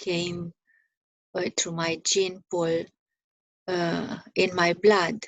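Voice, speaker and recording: Speaking very slowly, a woman uses a fairly low pitch. Her intonation is monotone and flat. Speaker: spiritual teacher. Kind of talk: spiritual contemplation talk. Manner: halting.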